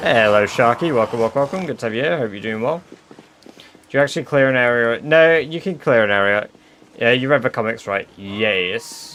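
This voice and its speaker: Against noticeable background noise, a man with a British accent speaks fairly quickly at a medium pitch with lively intonation. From England. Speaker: gaming streamer. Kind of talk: live stream chat. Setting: live stream. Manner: casual.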